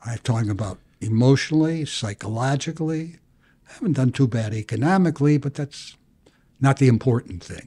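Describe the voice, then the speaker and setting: Recorded very cleanly with a silent background and a dry, close sound free of echo, a man with an American accent speaks fairly quickly at a medium pitch, somewhat breathy and dark and mellow in tone, with ordinary pitch variation and big swings in loudness. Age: 80s+. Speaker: bankruptcy attorney. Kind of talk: interview answer.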